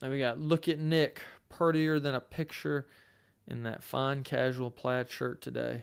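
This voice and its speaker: Speaking with a Southern accent, a man has a medium pitch and fairly even intonation at a fairly slow pace. The recording is very clean, with a silent background. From Tennessee. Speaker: lawyer and legal commentator. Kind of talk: live stream chat reading. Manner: casual, conversational.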